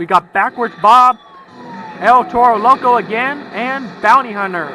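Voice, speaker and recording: A man's raised, projected voice at a fairly slow pace, with ordinary pitch variation and a dry, close sound with no echo. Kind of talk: video game commentary.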